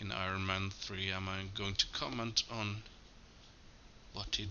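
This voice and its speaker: A man mumbles at a fairly slow pace in a fairly low pitch. Noticeable background noise runs behind him. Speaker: movie commentary YouTuber. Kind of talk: casual commentary track. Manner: mumbling; halting.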